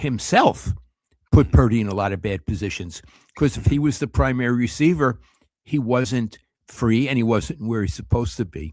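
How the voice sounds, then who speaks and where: A man at medium pitch with vocal fry, lively intonation and a moderate pace. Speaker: sports commentator. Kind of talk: casual chat.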